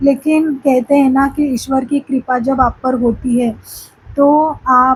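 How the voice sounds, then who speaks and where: This woman's voice is high-pitched. The intonation holds fairly even. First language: Marathi (speaking Hindi). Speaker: spiritual vlogger. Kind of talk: casual vlog talk to camera. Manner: halting, many fillers.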